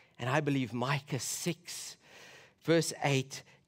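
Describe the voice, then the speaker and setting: A man's medium-pitched voice with a South African accent on a very clean recording with a silent background. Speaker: preacher. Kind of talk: sermon. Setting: church.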